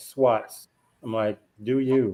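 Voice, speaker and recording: Speaking in a Memphis accent, a man has a medium pitch with ordinary variation. His pace is very slow. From US South, Memphis, Tennessee. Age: 40s. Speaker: panelist on discussion show. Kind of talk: casual panel discussion.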